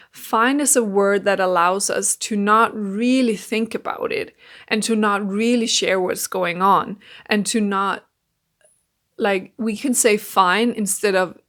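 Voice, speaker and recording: A woman with a Danish accent, medium-pitched and fairly slow, her intonation fairly even, on a very clean recording with a silent background. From Denmark. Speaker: mindset coach. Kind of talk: casual vlog monologue.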